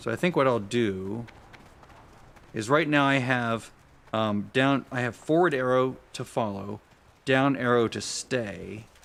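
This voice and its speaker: A man talks at a fairly slow pace with ordinary pitch variation and long, frequent pauses. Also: medium pitch for a man. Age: 60s. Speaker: gaming streamer. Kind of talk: live gameplay commentary. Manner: casual, halting with self-corrections.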